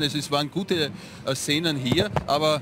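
Over noticeable background noise, a man with fairly high pitch speaks with fairly even intonation. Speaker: TV sports presenter. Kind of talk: post-match TV sports interview.

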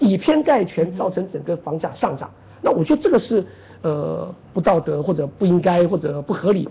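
This man's voice sits high in pitch. His intonation is lively. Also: moderate pace. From Taiwan. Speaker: professor of land economics. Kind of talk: interview. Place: studio.

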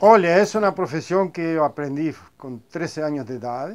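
This man talks at a moderate pace with a fairly high pitch and lively intonation. Light background noise can be heard. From Argentina, Buenos Aires. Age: 50s. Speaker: upholsterer. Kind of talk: interview. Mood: proud, calm. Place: workshop.

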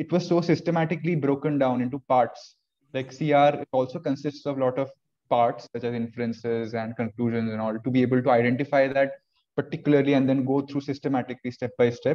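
At a very fast pace, a man delivers his words with fairly even intonation. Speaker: interviewee. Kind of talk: interview answer. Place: home room. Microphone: video call.

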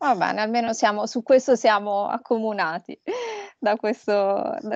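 A woman's ordinary speaking voice at a fairly slow pace, with ordinary pitch variation, a dry sound with no echo and a quiet background. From Italy. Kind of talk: interview. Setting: video call. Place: home room. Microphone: video call.

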